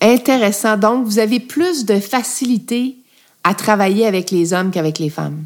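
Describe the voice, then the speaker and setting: This is a normal speaking voice at a moderate pace with lively intonation. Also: woman, fairly high pitch for a woman. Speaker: podcast host, former politician. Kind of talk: interview.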